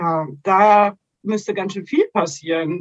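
A woman with an ordinary speaking voice, medium in pitch with ordinary pitch variation, at a fairly slow pace, in a dry, close sound with no echo. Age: 30s. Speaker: nursing educator. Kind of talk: interview.

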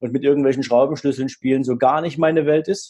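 A man's dark, mellow tone at fairly high pitch, very fast pace and fairly even intonation. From former East Germany. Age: 40s. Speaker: wealth manager and business coach. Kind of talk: interview.

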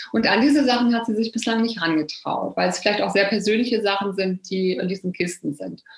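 Over noticeable background noise, a woman talks at a very fast pace with hardly any pauses, her medium pitch showing ordinary variation. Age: 50s. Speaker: novelist and health journalist. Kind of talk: interview about her book.

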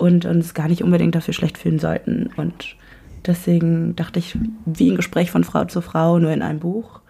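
The voice is a woman's and somewhat breathy. She keeps to a moderate pace. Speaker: podcast guest. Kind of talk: casual chat. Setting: home room recording.

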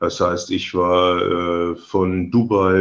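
A man speaks with a very deep, low pitch. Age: 60s. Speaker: real estate agent, licence partner, former sales manager. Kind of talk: interview. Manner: halting, frequent fillers.

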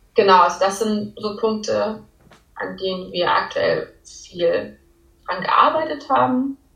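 The woman's delivery is very slow. Clear background noise can be heard throughout. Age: 20s. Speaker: law student and part-time clothing designer. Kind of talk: casual interview.

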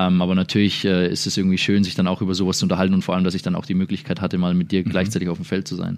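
A man with a very deep, low pitch speaks at a very fast pace. His intonation is fairly even, and he hardly pauses. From Würzburg, Germany. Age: 20s. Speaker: professional basketball player. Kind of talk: interview.

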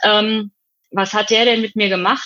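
A woman speaks in a plain, everyday voice. Her pitch is medium. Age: 50s. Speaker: psychotherapeutic practitioner and hypnotherapist. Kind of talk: interview.

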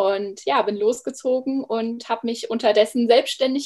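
A woman uses a normal speaking voice at a fairly high pitch. She keeps a moderate pace. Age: 30s. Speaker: former primary school teacher, coach. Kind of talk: interview. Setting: video call.

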